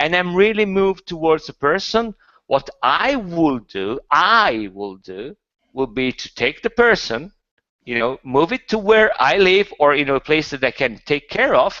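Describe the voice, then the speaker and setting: A man with a non-native accent, fairly high pitch, very wide pitch swings and a fairly slow pace. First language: not English. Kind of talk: casual chat. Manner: halting.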